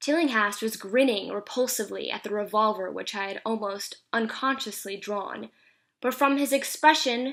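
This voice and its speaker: A woman's ordinary speaking voice at a fairly high pitch and moderate pace, with ordinary pitch variation, in a very clean recording with a silent background. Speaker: actress. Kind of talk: horror story reading.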